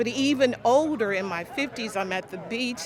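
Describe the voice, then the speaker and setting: A woman talks fairly slowly with ordinary pitch variation, her voice carrying audible room echo over noticeable background noise. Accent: American. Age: 60s. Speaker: teacher. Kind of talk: testimony.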